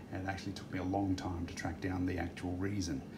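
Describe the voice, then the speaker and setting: Audible room echo surrounds a man with an Australian accent and a very deep, low pitch. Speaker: DIY repair video maker. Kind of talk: tutorial. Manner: casual with frequent fillers.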